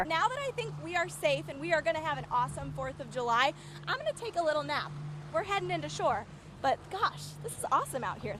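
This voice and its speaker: Noticeable background noise runs throughout. A woman speaks very fast. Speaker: TV meteorologist. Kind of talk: live field report. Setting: outdoors.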